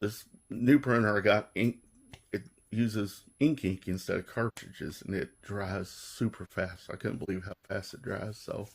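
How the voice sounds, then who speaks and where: A man speaks at a fairly low pitch and moderate pace, somewhat breathy, with ordinary pitch variation and big swings in loudness. The recording is very clean, with a silent background. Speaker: hobbyist custom decal maker. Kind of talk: tutorial. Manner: casual, rambling with fillers.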